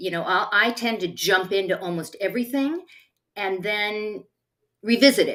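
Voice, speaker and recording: A woman at medium pitch with a plain, everyday voice, a moderate pace and lively intonation. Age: 60s. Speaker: talk show co-host. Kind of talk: casual chat.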